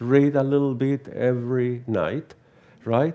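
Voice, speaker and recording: The speaker has a Venezuelan accent. The pace is fairly slow. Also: man. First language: Spanish. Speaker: theosophy lecturer. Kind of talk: lecture. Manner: halting, with frequent repetitions.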